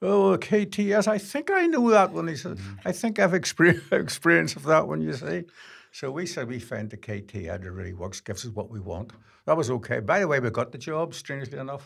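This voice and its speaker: A man with a fairly high voice talks at a fairly quick pace with vocal fry, very wide pitch swings and big swings in loudness, on a very clean recording with a silent background. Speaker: filmmaker. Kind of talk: interview answer.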